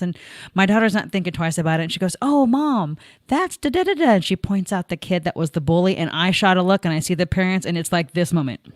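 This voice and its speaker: With a normal speaking voice at medium pitch, a woman talks at a fairly quick pace in a very clean recording with a silent background and a dry, close sound with no echo. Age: 50s. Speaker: podcast host. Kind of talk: casual chat. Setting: live video podcast.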